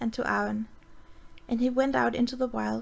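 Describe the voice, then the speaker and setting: This woman has a Danish accent. She talks at a fairly quick pace. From Denmark. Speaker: amateur reader. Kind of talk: fantasy story reading. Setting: voice chat.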